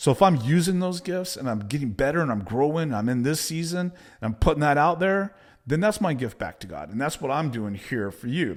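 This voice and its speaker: Speaking at a moderate pace with a Texan accent, a man uses a fairly high voice with very wide pitch swings, in a very clean recording with a silent background. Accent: Texan American English. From Texas. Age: 50s. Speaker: business coach. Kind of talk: motivational talk to camera. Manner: direct, casual.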